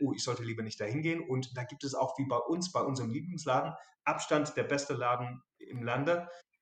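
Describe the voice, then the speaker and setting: A man's voice at a medium pitch. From southern England, Dorset. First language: English (speaking German). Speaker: English expat sharing his home cuisine. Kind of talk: casual interview.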